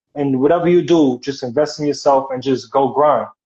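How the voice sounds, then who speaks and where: With a strong New York accent, a man talks at a moderate pace in a fairly high, monotone voice with flat intonation. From New York City. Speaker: model and actor. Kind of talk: interview.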